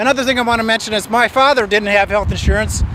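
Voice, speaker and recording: Through noticeable background noise, a man uses a raised, projected voice, high in pitch with fairly even intonation. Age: 60s. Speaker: peace activist speaking at an event. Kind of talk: open-mic speech.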